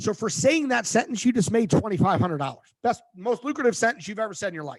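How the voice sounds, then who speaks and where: Delivered at a very fast pace, the voice makes very wide pitch swings and big swings in loudness. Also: man, high pitch for a man. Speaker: career coach and recruiter. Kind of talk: webinar presentation.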